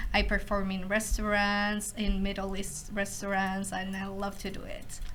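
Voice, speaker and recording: A woman speaks with a Spanish accent at a medium pitch and moderate pace. Her intonation is monotone and flat, and there is noticeable background noise. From Ecuador. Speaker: international student. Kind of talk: casual chat.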